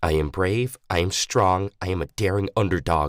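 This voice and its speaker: Soft-spoken and at a moderate pace, the voice shows ordinary pitch variation in a dry, close sound with no echo. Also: man, very deep, low pitch for a man. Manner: murmuring under his breath.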